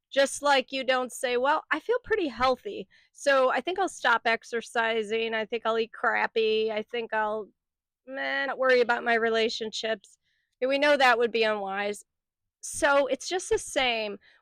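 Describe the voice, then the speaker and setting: Against a quiet background, a woman at a high pitch talks at a moderate pace with ordinary pitch variation, the sound dry and close with no echo. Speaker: mindset coach. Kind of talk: motivational talk to camera. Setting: outdoors. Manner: conversational.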